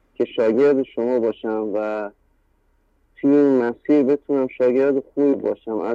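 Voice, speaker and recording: At a fairly slow pace, a man with a plain, everyday voice speaks at a medium pitch with fairly even intonation. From Iran. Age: 30s. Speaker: caller. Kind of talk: testimony. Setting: phone call.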